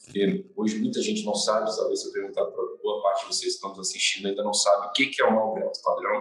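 A very fast delivery with hardly any pauses. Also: man. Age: 20s. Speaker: construction company owner. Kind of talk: interview. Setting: live stream.

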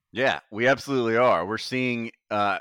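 At a fairly quick pace, a man speaks at a medium pitch in a dry, close sound with no echo. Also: quiet background. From US Gulf Coast. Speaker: wrestling podcast moderator. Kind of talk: casual chat. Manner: animated.

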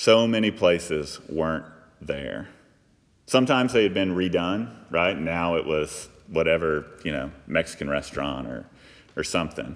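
This man talks with an American accent at a moderate pace. His pitch is very deep and low, with vocal fry and lively intonation. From US South, Texas (Fort Worth area). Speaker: pastor. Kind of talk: sermon. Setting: church.

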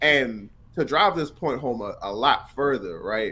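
With vocal fry and lively intonation, a man speaks at a fairly slow pace. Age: 30s. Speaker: music reviewer and arts marketing manager. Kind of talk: casual chat.

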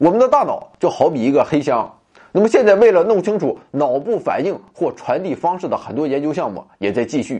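A man's high-pitched voice with a dark, mellow tone and very wide pitch swings. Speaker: science podcast host. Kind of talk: scripted narration.

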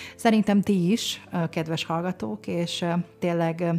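A woman speaks with a fairly low pitch and a dark, mellow tone. Her voice is somewhat breathy, its intonation fairly even. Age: 50s. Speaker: podcast host. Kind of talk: podcast interview; show outro announcement.

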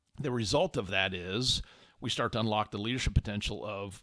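A man with an American accent speaks fairly quickly at a fairly low pitch, with ordinary pitch variation, in a very clean recording against a silent background. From Indiana, US Midwest. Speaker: podcast host, leadership coach. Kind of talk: casual monologue. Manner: conversational.

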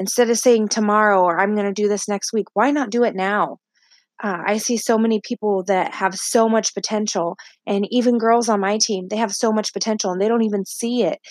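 A woman has an unremarkable speaking voice with a fairly high pitch. She speaks at a fairly quick pace with fairly even intonation. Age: 20s. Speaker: podcast host, stay-at-home mom and wellness business owner. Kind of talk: motivational solo podcast talk. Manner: frequent filler words (uh, um).

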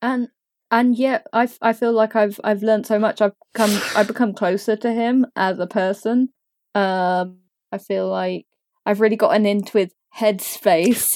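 In a dry, close recording with no echo, a woman with a British accent talks at a moderate pace, her fairly high pitch staying fairly even. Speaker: podcast guest. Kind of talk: casual chat.

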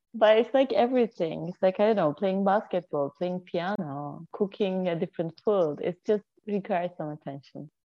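At a moderate pace with hardly any pauses, this voice has a Turkish accent and ordinary pitch variation. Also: woman, medium pitch for a woman. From Turkey (Anatolia). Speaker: intuitive healer and life coach. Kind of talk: casual interview chat.

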